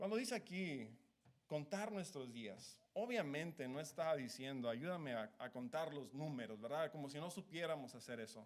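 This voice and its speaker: Speaking with lively intonation, a man keeps a moderate pace. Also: fairly high pitch for a man. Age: 30s. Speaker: preacher. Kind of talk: sermon. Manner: halting.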